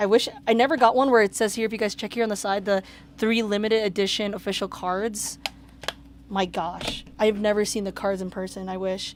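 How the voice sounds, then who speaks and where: The speaker has an animated tone and a fairly quick pace. Noticeable background noise runs underneath. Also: woman, medium pitch for a woman. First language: not English. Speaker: video game reseller unboxing mail. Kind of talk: casual unboxing video.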